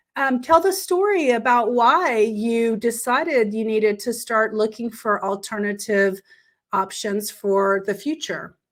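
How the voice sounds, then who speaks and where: In an ordinary speaking voice, a woman with a fairly high pitch and lively intonation speaks at a fairly slow pace in a very clean recording with a silent background. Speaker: online business owner, interview host. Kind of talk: casual interview.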